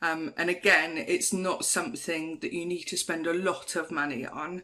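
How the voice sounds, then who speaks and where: Fairly slowly, a woman speaks in a fairly low voice with a bright, sharp tone. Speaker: larp NPC crew member. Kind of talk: casual talk to camera, tutorial.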